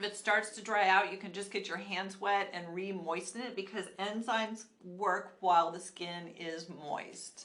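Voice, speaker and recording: A woman's normal speaking voice, medium in pitch, at a fairly slow pace with fairly even intonation and big swings in loudness. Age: 60s. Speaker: esthetician and skincare channel host. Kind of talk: live skincare tutorial. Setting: live stream at a studio. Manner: casual, conversational with fillers.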